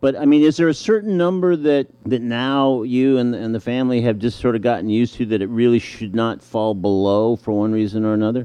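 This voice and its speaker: A man talks in an ordinary speaking voice with ordinary pitch variation. He hardly pauses at all. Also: medium pitch for a man, fairly quick pace. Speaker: radio host. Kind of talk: radio interview.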